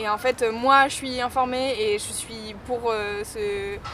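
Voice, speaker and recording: Noticeable background noise runs under the clip. A woman speaks in a fairly high pitch. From western France (Saint-Nazaire / Nantes). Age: 20s. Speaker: DJ. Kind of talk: street interview. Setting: outdoors. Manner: weak articulation.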